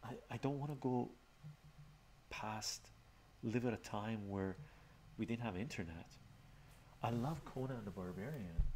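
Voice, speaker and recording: A man speaks softly at a fairly slow pace. Long pauses come often, over light background noise. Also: medium pitch for a man, ordinary pitch variation. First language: Armenian. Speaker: live streamer. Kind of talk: casual chat. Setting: live stream. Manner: soft-spoken. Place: home room.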